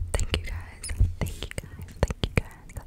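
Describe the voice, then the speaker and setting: Whispered speech from a woman. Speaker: ASMR creator. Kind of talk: ASMR whisper ramble. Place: home room. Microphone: studio mic.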